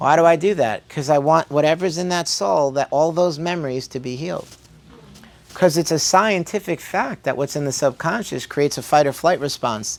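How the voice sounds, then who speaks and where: Here a man talks at a fairly quick pace. His fairly high pitch varies in an ordinary way. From Brooklyn, New York, immigrated at three. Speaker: chiropractor. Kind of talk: health workshop talk. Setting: workshop with live audience. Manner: animated, conversational.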